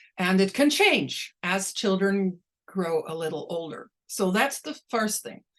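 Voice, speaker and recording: A woman with a Dutch accent speaks at a fairly slow pace with lively intonation. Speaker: linguistics professor. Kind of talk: Q&A after lecture. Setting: video call. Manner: slow, clearly articulated.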